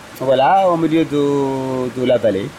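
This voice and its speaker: Noticeable background noise sits under the recording. A man talks at a very slow pace in a fairly high pitch. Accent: Arabic. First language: Arabic (speaking French). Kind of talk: casual interview. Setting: outdoors. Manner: halting.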